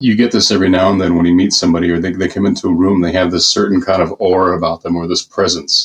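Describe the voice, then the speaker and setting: This speaker talks at a very fast pace with hardly any pauses, in an American accent. The intonation stays fairly even. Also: man, very deep, low pitch for a man. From US Southwest (Phoenix, Arizona), Mexican American. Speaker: film makeup and effects artist. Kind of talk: podcast interview. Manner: halting, many fillers.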